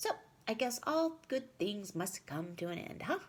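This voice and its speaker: In a put-on character voice, a female-sounding speaker talks at a moderate pace in a medium pitch for a woman. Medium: read story. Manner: casual, knowing.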